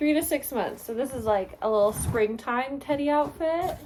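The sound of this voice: A woman with a dark, mellow tone speaks with lively intonation.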